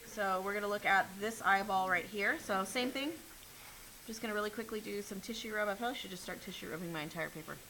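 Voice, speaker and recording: The woman here talks at a fairly quick pace. Her voice carries audible room echo. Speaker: art teacher. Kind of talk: classroom drawing demonstration. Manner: fast.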